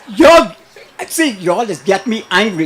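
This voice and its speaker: Crowd noise fills the background as a man speaks in an animated tone. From Bahamas, Long Island. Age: 60s. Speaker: caller. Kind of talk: call-in rant.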